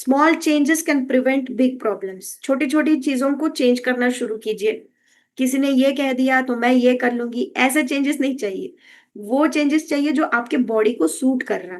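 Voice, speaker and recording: High-pitched female speech, the pitch moving up and down an ordinary amount. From Karnataka, India. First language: Kannada (speaking Hindi). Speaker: health and wellness educator. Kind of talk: educational talk. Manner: Hindi-English code-switching with frequent fillers.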